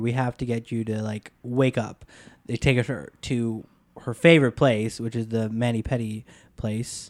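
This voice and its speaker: In a normal speaking voice, a man talks at a moderate pace and medium pitch with fairly even intonation, recorded very cleanly against a silent background with a dry, close sound and no echo. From US Upper Midwest, Wisconsin. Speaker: film and TV editor. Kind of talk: casual movie discussion podcast.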